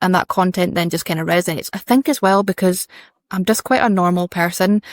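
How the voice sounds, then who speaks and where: In a Scottish accent, a woman speaks very fast at a medium pitch with ordinary pitch variation and very even loudness. The sound is dry and close with no echo, and the recording is very clean with a silent background. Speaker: fashion brand founder and designer. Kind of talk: interview conversation. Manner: chatty, informal.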